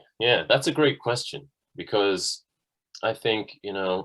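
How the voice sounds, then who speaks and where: Recorded very cleanly against a silent background, a man with a Dublin accent speaks at a fairly low pitch with ordinary pitch variation. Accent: Irish (Dublin). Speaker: musician. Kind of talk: interview.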